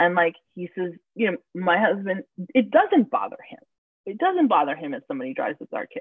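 Speaking at a fairly quick pace in an American accent, a woman of medium pitch makes very wide pitch swings and big swings in loudness. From New York City (Queens). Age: 30s. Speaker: mother of twins. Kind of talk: casual chat.

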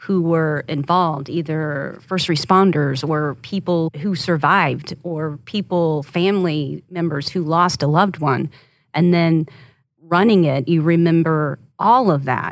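A woman's fairly low, fairly slow delivery with ordinary pitch variation, an ordinary speaking voice. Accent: American. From Oklahoma, Rush Springs. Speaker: TV news anchor. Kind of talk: casual interview chat.

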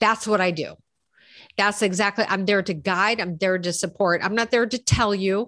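A woman with a medium pitch, a bright, sharp tone, fairly even intonation and a moderate pace, against a quiet background. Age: 50s. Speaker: executive life coach. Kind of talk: casual interview chat.

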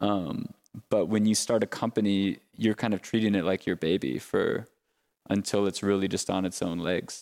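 In an American accent, a man speaks at a moderate pace and a fairly low pitch. The recording is very clean and dry, with a close sound, a silent background and no echo. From Minnesota. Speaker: coffee company co-founder. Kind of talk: interview. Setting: company office. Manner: hesitant, many fillers.

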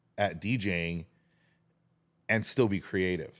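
In a very clean recording with a silent background, a man speaks in a fairly low pitch with ordinary pitch variation. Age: 40s. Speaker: DJ. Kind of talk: casual chat.

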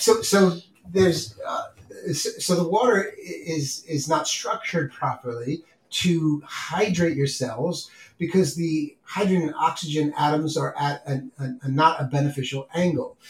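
A man in a New York accent, fairly high-pitched, at a fairly slow pace with ordinary pitch variation. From New York City (Bronx and Queens). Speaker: podcast host. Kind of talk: casual chat. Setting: at the kitchen table.

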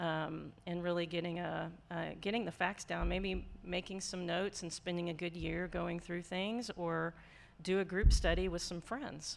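With vocal fry, a woman speaks at a fairly slow pace and with fairly even intonation. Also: fairly low pitch for a woman. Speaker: mental health counselor. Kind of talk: casual chat.

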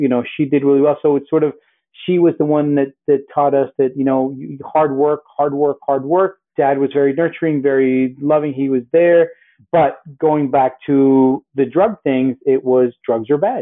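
Fairly high-pitched and in an American accent, a man speaks in a plain, everyday voice at a moderate pace. His intonation is fairly even and his loudness very even. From US Northeast and Miami, Colombian family. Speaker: apparel entrepreneur, former news journalist. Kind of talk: interview conversation.

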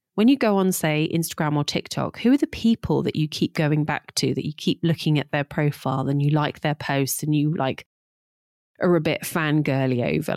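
A woman with an East Midlands accent speaks at a very deep, low pitch and a moderate pace, in a dry, close sound with no echo and a very clean recording with a silent background. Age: 40s. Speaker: podcast host, digital marketing coach. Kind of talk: solo podcast monologue, business advice. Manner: casual, conversational.

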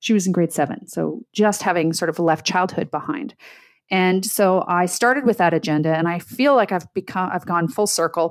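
A woman with a Canadian accent, an ordinary speaking voice and a medium pitch, with ordinary pitch variation and a moderate pace, in a very clean recording with a silent background. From Canada, Ottawa. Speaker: podcast host, leadership program founder. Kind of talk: interview.

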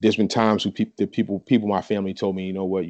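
A man with an American accent talks in a fairly low voice. The sound is dry and close with no echo, over a quiet background. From New Jersey. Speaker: rapper and poet. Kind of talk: casual interview chat.

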